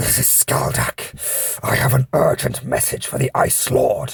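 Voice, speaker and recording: A put-on character voice that sounds raspy. It hisses throughout. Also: man, moderate pace. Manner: urgent.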